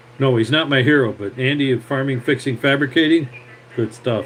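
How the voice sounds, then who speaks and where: Someone talks at a fairly quick pace with noticeable background noise. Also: man. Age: 60s. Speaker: tractor mechanic. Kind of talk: live stream talk and repair tutorial. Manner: casual, rambling with filler words.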